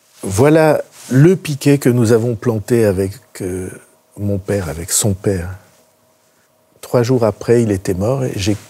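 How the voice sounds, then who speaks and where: A man's fairly low, dark, mellow and somewhat breathy voice, fairly slow with long, frequent pauses and ordinary pitch variation. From Béarn, south-west France. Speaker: politician. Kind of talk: interview answer.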